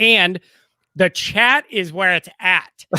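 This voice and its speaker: Speaking with a Chicago accent, a man uses a high pitch and a bright, sharp tone. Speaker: sports YouTuber, co-host. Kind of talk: casual sports podcast chat.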